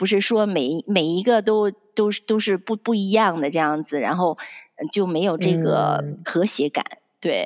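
A woman's normal speaking voice, medium in pitch with ordinary pitch variation, fairly slow, dry and close with no echo. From Shandong, China. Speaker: fashion designer. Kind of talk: interview.

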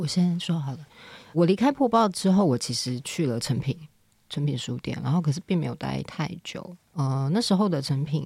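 In a very clean recording with a silent background, a woman's very deep, low voice comes across somewhat breathy, with a dark, mellow tone, at a moderate pace. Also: lively intonation. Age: 30s. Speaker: editor and company director. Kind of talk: casual interview chat.

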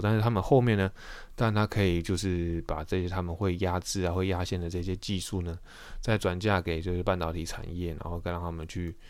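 Over a silent background in a very clean recording, a man with a very deep, low pitch talks at a fairly quick pace with fairly even intonation. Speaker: podcast host. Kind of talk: solo podcast monologue. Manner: hesitant, many filler sounds.

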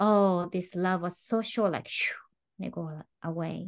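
Over a quiet background, a woman talks at medium pitch. Her intonation stays fairly even. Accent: Japanese. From Japan. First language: Japanese. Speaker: tango teacher. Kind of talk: podcast interview.

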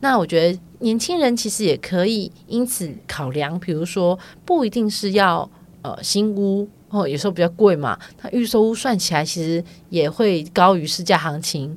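Using an unremarkable speaking voice, a woman speaks with lively intonation at a moderate pace. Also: medium pitch for a woman. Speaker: podcast co-host. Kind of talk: casual chat.

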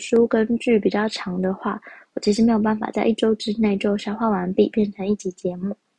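Monotone, flat intonation at a fairly quick pace, with a somewhat breathy, dark, mellow tone. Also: woman. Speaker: podcast host. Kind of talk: casual solo podcast talk.

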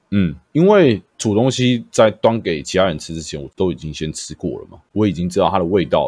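Over a very clean recording with a silent background, a man talks at a fairly quick pace with lively intonation and vocal fry. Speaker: podcast host and streamer. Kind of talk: casual chat. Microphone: new microphone.

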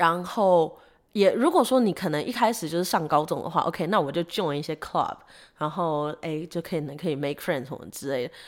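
Against a silent background in a very clean recording, a woman talks fairly quickly at a fairly low pitch with lively intonation. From Taiwan. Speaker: podcast co-host. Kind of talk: casual chat.

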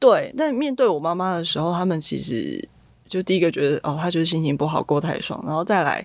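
In a very clean recording with a silent background, a woman with an ordinary speaking voice talks at a fairly quick pace in a fairly low pitch with lively intonation. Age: 20s. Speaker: finance professional. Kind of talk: interview.

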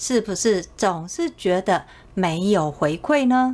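Her pitch sitting in the middle range, a woman speaks with very wide pitch swings. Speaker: sales coach and podcast host. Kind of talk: solo podcast talk.

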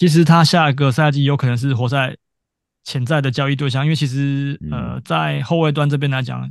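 A man talks at a moderate pace in a normal speaking voice, fairly high in pitch with fairly even intonation, over a quiet background. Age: middle-aged. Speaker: podcast co-host. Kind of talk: casual chat; scripted show intro.

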